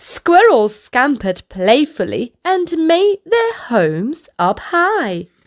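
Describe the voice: A woman's put-on character voice, high-pitched and very slow, with big pitch swings.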